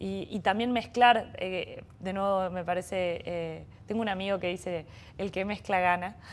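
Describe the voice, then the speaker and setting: This woman speaks with a Córdoba accent at a medium pitch. Her pace is fairly slow and her intonation fairly even. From Argentina, Córdoba. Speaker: bioeconomy startup executive. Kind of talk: interview conversation. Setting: innovation center. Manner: hesitant, many repetitions.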